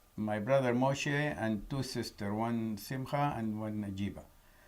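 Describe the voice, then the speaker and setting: Through audible room echo, a man speaks at a medium pitch with ordinary pitch variation. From Iraq, Baghdad. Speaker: Holocaust-era refugee survivor giving testimony. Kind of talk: testimony. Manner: halting.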